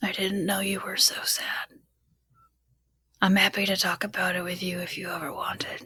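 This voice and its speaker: Someone whispers in a put-on character voice. The pace is moderate. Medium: actual play. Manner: earnest, sincere.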